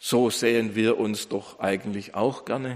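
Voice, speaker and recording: Speaking at a fairly slow pace, a man uses a dramatic, warm tone with ordinary pitch variation. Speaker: pastor. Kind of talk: sermon. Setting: church. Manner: earnest, emphatic preaching, building in dramatic rhetorical pauses; formal, warm pastoral tone addressing congregation.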